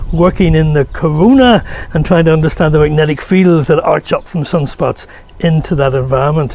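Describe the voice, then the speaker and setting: A man in a Northern Irish accent, fairly high-pitched, at a moderate pace. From Northern Ireland. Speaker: solar physicist. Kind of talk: award acceptance speech.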